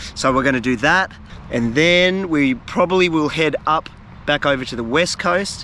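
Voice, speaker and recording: Over noticeable background noise, a man with an Australian accent speaks with ordinary pitch variation. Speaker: fishing and travel video creator. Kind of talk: casual vlog talk to camera. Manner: halting, many fillers.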